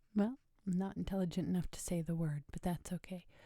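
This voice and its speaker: This woman's voice is medium in pitch and somewhat breathy, with fairly even intonation. Her pace is moderate and her tone relaxed. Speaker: ASMR creator. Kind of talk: ASMR quote reading, bedtime listening. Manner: soft-spoken, relaxed.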